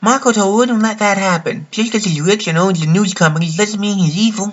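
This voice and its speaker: A man uses a put-on character voice, high in pitch. He goes at a fairly quick pace over light background noise. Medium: voice reel.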